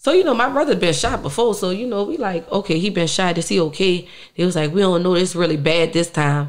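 A woman at a medium pitch with a New Orleans accent, lively intonation and a very fast pace, against a quiet background. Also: hardly any pauses. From New Orleans, uptown. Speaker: musician; interview guest. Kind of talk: interview. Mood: emotional, reflective about family loss. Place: studio. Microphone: studio mic.

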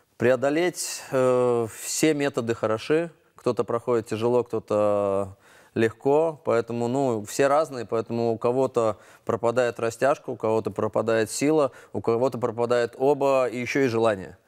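A man's moderately paced speech, with ordinary pitch variation, comes through against a quiet background. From Latvia. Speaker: gymnastics coach and former Olympic champion; gymnastics coach. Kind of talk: studio interview. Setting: TV studio. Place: studio. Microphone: lapel.

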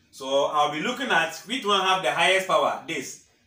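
With lively intonation, a man speaks in a fairly high voice with a bright, sharp tone. Room echo is audible. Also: moderate pace.

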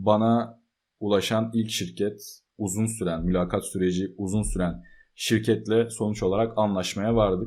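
Low-ish in pitch, a man with a dark, mellow tone speaks fairly slowly in a monotone, flat intonation. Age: 20s. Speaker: software developer and computer engineering student. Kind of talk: casual vlog talk.

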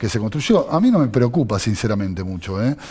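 A man with a Rioplatense accent, lively intonation and a fairly quick pace. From Argentina, Buenos Aires. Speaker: city legislator; interview guest. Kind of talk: political interview. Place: studio. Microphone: headset.

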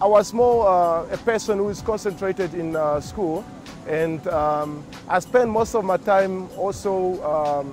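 A man with a high pitch speaks at a fairly slow pace and ordinary pitch variation. Clear music plays behind a dry sound with no echo. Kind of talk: interview answer. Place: factory. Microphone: lapel.

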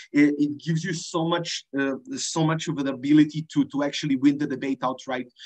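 The delivery is monotone and flat, at a fairly quick pace with hardly any pauses. The background is quiet. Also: man. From Serbia. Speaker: debater giving a workshop. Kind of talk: lecture. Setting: video call. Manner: informal, hesitant with many fillers. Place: home room. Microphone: video call.

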